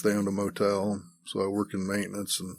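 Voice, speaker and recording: A man with an American accent and a fairly low pitch. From Kansas, US. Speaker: podcast guest. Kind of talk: personal life story, interview. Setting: studio. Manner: reserved, brief answers.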